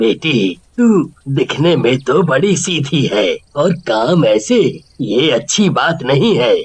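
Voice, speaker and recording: In a cartoonish character voice, a man speaks at a fairly high pitch and a fairly slow pace. His pitch makes very wide swings. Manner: shaky, halting.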